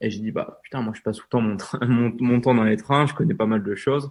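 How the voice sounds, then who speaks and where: This man talks with fairly even intonation. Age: 20s. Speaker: travel YouTuber and author. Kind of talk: interview. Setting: podcast recording. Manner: hesitant with many fillers.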